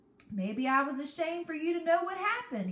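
A woman's raspy, put-on character voice, extremely high in pitch and very fast, with audible echo. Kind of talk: reading a novel aloud. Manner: ashamed, defensive.

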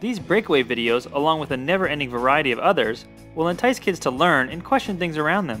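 Music plays in the background as the voice moves at a very fast pace. The tone is upbeat and the intonation lively. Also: man, fairly high pitch for a man. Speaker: children's science show host. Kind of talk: children's show promo host read. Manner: upbeat, friendly.

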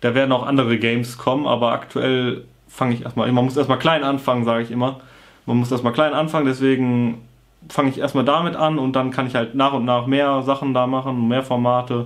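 Medium in pitch, a man talks at a fairly quick pace. His delivery is monotone and flat. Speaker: motovlogger and gaming youtuber. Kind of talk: casual vlog monologue. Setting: home video recording. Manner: casual, blunt.

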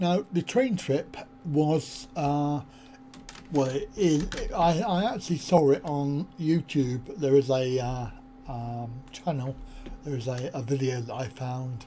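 Speaking at a slow pace, a man uses a dark, mellow tone at medium pitch with ordinary pitch variation.

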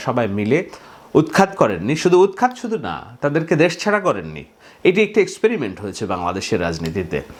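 A man's voice with vocal fry and very wide pitch swings, in a very clean recording with a silent background. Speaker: political commentator. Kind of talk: monologue news analysis.

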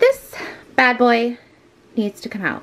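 A woman's voice at a moderate pace. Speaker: home vlogger. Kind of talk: casual vlog chat. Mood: relaxed, a little self-deprecating. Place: home room. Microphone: phone near.

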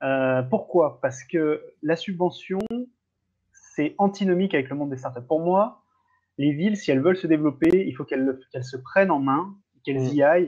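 A man with an unremarkable speaking voice, fairly high pitch, ordinary pitch variation and a moderate pace against a quiet background. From France, Lyon; France. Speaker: startup ecosystem commentator. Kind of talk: casual chat. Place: home room. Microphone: video call.

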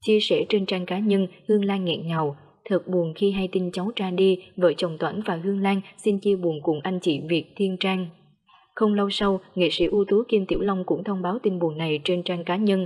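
Here a woman has a plain, everyday voice at a medium pitch. She keeps a moderate pace with fairly even intonation. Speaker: news narrator. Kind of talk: news reading.

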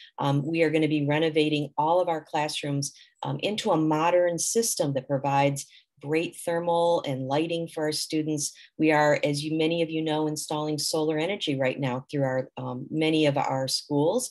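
Over a quiet background, a woman talks at a moderate pace. Her very deep, low pitch carries fairly even intonation. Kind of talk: presentation. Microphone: webcam.

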